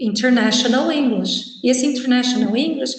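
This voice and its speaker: A woman speaks at a high pitch and a moderate pace. Her intonation is fairly even. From Brazil. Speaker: university professor. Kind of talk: lecture.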